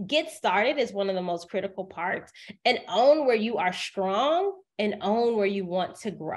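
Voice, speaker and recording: A woman speaks with an American accent. Her pitch swings very widely. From US South, Decatur, Georgia. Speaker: writer, media personality and professional speaker. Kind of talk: interview. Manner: speeds up when excited.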